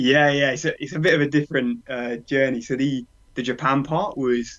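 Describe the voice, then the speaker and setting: A man speaks with a British accent. His pace is moderate and his intonation fairly even. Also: fairly high pitch for a man. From UK. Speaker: runner. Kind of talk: interview.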